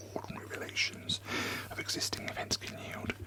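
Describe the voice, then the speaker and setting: Everything is said in a whisper. Background noise is clearly audible. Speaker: theatre director. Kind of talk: classic novel reading. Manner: whispered.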